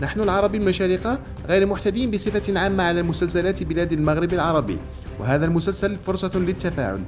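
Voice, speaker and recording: A high-pitched male voice at a moderate pace, with ordinary pitch variation and music in the background. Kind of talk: news commentary narration reading a quoted statement.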